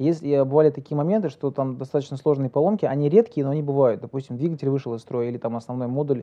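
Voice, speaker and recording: A man with a fairly high voice rushes along very quickly, his pitch shifting in an ordinary way. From Kazakhstan (Uralsk). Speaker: entrepreneur. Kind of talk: interview. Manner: talkative.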